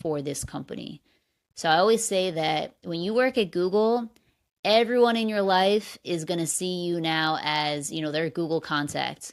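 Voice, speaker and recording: A woman with an American accent, fairly low pitch, ordinary pitch variation and moderate pace in a very clean recording with a silent background. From New Jersey / New York area, US. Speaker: podcast host, former executive assistant. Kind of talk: solo podcast advice talk.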